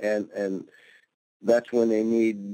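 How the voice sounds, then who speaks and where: A man with an American accent, fairly low pitch, dark, mellow tone, and very slow pace. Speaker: Vietnam veteran, former Navy corpsman, Medal of Honor recipient. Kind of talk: interview answer.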